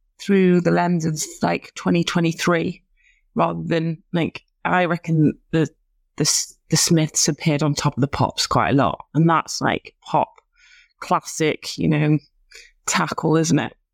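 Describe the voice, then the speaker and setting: A woman with a Lancashire accent, fairly low in pitch, at a moderate pace, the sound dry and close with no echo on a very clean recording with a silent background. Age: 30s. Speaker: podcast co-host. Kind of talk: casual chat.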